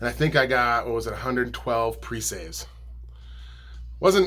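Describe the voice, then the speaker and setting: A man mumbles with music in the background and audible room echo. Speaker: musician and video blogger. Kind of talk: casual vlog monologue. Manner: mumbling; casual, many fillers.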